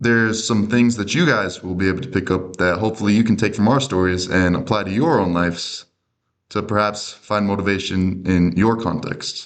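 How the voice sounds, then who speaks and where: A man with a plain, everyday voice, fairly low in pitch, in an American accent, at a moderate pace with ordinary pitch variation over a quiet background. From Minnesota, US. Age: young. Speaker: podcast co-host, college athlete. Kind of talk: casual chat.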